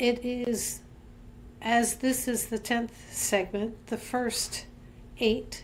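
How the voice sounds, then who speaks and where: A woman speaks in a calm tone. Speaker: minister leading a devotional series. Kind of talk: devotional talk; guided reflection. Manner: slow.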